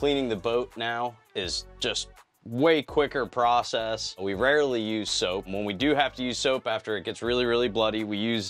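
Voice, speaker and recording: With faint music in the background, a man talks at a moderate pace with ordinary pitch variation and hardly any pauses. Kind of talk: interview answer. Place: boat. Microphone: lapel.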